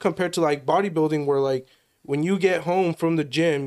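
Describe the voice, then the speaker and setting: A man with an American accent speaks at a fairly quick pace in a normal speaking voice, his intonation fairly even, in a very clean recording with a silent background. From California, Turlock area. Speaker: fitness enthusiast. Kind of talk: casual chat.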